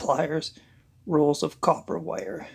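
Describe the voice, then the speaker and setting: Using a put-on character voice, a man talks at a fairly slow pace, raspy and fairly high in pitch. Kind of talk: amateur audiobook reading. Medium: read story. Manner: measured, tense storytelling.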